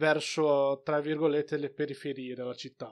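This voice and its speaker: Speaking in a flat monotone at a fairly high pitch for a man, he is heard on a very clean recording with a silent background. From outside Italy, a developing country. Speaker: film review podcast co-host. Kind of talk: casual chat.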